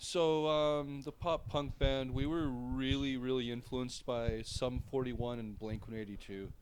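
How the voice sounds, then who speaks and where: A man at medium pitch with ordinary pitch variation and a normal speaking voice, at a fairly slow pace with hardly any pauses. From Ontario, small town. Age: 30s. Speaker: electronic metal musician. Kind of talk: casual interview.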